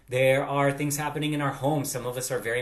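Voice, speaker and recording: A man with an American accent, talking at a very fast pace. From Latin America. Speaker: vlog co-host. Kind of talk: casual chat. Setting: video call.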